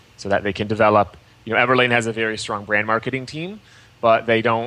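The tone is bright and sharp, and the intonation stays fairly even. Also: man. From US Midwest, Michigan. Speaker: entrepreneur and coding educator. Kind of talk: interview.

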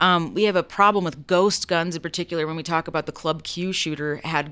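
With a bright, sharp tone and a fairly low pitch, a woman speaks fairly quickly with fairly even intonation on a very clean recording with a silent background. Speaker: returning guest commentator on news. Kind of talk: casual panel chat about news.

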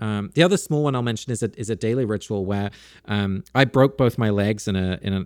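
A man with a British accent speaks with a fairly low pitch and ordinary pitch variation. His pace is fairly quick, on a very clean recording with a silent background. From UK, Dutch parents. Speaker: author and podcaster. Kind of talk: interview conversation.

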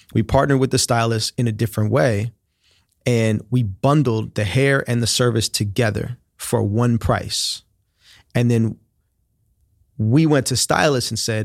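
With a plain, everyday voice at medium pitch, a man talks in fairly even intonation, the sound dry and close with no echo on a very clean recording with a silent background. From Oakland, California. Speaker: tech company founder and CEO. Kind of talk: interview.

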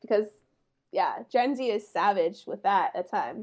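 A woman with an American accent speaks at a fairly slow pace, her fairly high voice showing ordinary pitch variation. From US Northeast, small-town Pennsylvania. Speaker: digital creator. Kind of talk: casual chat.

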